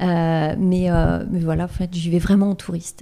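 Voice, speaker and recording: The recording is very clean, with a silent background. A dark, mellow tone marks the voice. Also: woman. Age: 40s. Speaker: life coach. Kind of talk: interview.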